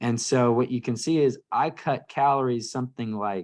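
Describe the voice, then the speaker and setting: Against a silent background on a very clean recording, a man's pitch varies in an ordinary way. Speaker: nutrition and fitness coach. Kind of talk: live training presentation to a group. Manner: fast; halting, many fillers and restarts.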